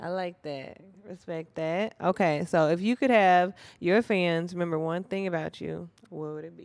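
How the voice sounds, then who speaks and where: A woman speaks in an unremarkable speaking voice, pitched fairly low. Her pace is moderate and her pitch varies in an ordinary way. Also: big swings in loudness. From Minnesota. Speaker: interviewer. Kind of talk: casual interview.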